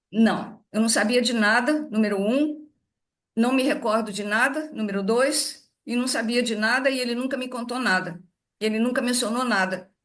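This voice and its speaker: Moderate pace with ordinary pitch variation. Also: woman, high pitch for a woman. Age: 80s+. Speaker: daughter of a spiritist author. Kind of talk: interview. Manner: halting.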